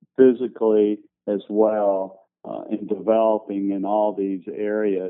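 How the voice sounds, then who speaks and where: A man talks in a fairly low voice at a fairly slow pace. His intonation is monotone and flat. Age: 60s. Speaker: entrepreneur. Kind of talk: podcast interview. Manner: halting, many fillers.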